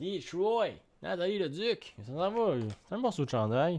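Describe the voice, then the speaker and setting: In a Quebec accent, a man speaks with very wide pitch swings. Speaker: card break streamer; card break host. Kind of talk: live stream commentary. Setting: at home, evening live stream. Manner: calmer, not shouting. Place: home room.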